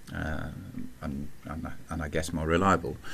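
Speaking at a very slow pace, a man talks with an English accent. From England. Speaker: podcast co-host, telecom expert. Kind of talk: casual chat. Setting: studio.

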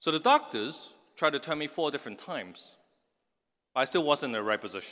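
Against a quiet background, a man with a fairly high pitch, a bright, sharp tone and vocal fry talks at a fairly quick pace with lively intonation, breaking it up with long, frequent pauses. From Hong Kong. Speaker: tech entrepreneur. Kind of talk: commencement speech. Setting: stage with audience.

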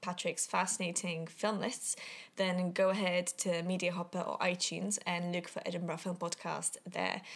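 In a non-native accent, a woman speaks at a fairly quick pace with a medium pitch. Vocal fry runs through her voice, and the recording is very clean over a silent background. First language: not English. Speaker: podcast host. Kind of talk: casual chat.

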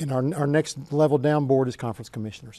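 Against a quiet background, a man with a strong Oklahoman accent talks at medium pitch with a dark, mellow tone. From Oklahoma, US. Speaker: author and sports administrator. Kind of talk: interview answers.

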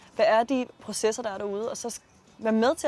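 Her pitch fairly high and her intonation fairly even, a woman with an unremarkable speaking voice talks at a fairly quick pace. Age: 20s. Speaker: startup founder. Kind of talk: interview.

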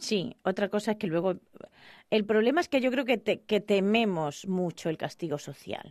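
Against a quiet background, a woman with a plain, everyday voice speaks at a medium pitch and moderate pace with lively intonation. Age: 40s. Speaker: radio host. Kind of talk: casual chat.

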